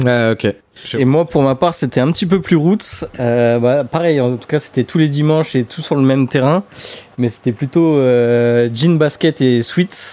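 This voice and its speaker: This is a man with an unremarkable speaking voice at a medium pitch. He talks at a fairly slow pace with ordinary pitch variation. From Paris suburbs. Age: 20s. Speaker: airsoft website co-founder. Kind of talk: casual chat.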